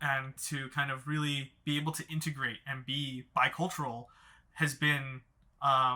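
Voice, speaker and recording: At a fairly slow pace, a man with a Mandarin accent speaks in a fairly high pitch with a bright, sharp tone and monotone, flat intonation. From Los Angeles, US. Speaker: therapist, podcast co-host. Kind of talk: casual panel discussion. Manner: halting, many repeated words.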